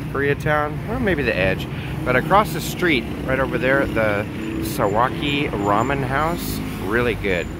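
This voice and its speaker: Loud background noise runs under a man speaking at a fairly slow pace. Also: dry sound with no echo. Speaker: travel vlogger. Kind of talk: casual vlog narration. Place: street. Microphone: phone near.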